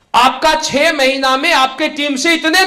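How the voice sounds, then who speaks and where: Raised and projected, a man's voice sits at an extremely high pitch. His intonation stays fairly even. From Bihar, India. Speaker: life coach and direct selling trainer; former army soldier. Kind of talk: motivational training speech.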